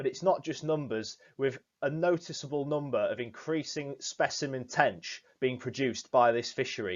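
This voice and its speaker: In a Yorkshire accent, a man with a fairly high pitch talks at a fairly quick pace. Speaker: fishery manager. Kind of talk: prepared presentation. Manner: formal.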